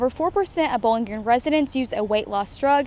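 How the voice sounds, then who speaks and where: A woman with an American accent, high pitch and lively intonation over noticeable background noise. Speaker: TV reporter and anchor. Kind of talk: local TV news reporter voiceover. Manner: polished, broadcast delivery.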